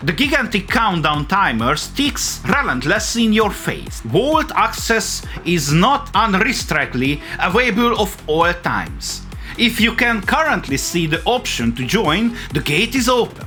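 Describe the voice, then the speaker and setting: Music plays in the background as a man with a strong non-native accent speaks in a raised, projected voice. His pitch is high with very wide swings, and his pace is fairly slow. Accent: heavy non-native English. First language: not English. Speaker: video essay host. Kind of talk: video essay narration.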